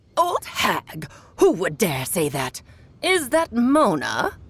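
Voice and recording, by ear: A woman's put-on character voice at a very slow pace, with very wide pitch swings, a fairly bright tone and a slightly husky edge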